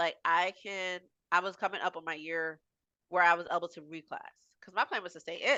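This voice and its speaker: With an American accent, a woman of fairly low pitch speaks at a fairly quick pace with fairly even intonation, in an unremarkable speaking voice. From New Jersey, US. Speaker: Army veteran, mechanic. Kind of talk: casual interview testimony.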